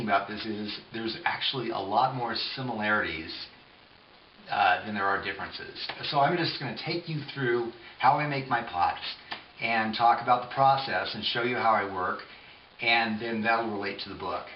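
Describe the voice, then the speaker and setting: A man speaks at a medium pitch. The recording has audible room echo and noticeable background noise. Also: ordinary pitch variation, fairly quick pace. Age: 50s. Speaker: potter. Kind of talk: tutorial. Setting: home pottery studio. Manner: casual, with fillers and hesitations.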